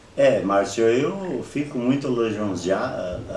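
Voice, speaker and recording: Speech comes very slowly, with noticeable background noise and an audible echo in the room. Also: man. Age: 60s. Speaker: interviewee, local elder. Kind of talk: oral history interview. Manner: halting.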